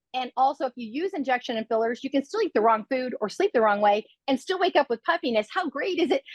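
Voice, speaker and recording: A woman at a high pitch, very fast and animated, with lively intonation and a dry, close sound with no echo. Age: 60s. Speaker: product spokesperson. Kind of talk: sales pitch.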